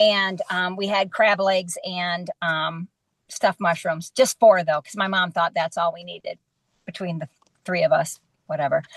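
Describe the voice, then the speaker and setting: Somewhat breathy, a woman speaks at medium pitch with fairly even intonation and big swings in loudness. The sound is dry and close with no echo. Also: moderate pace. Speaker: podcast co-host. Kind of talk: casual chat. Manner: sarcastic, dry.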